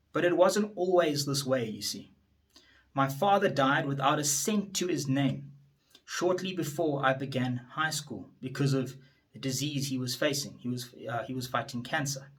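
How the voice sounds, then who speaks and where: A man talks at a moderate pace in a fairly high pitch. Room echo is audible. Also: ordinary pitch variation. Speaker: attorney and politician. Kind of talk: motivational speech. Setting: standing before an audience.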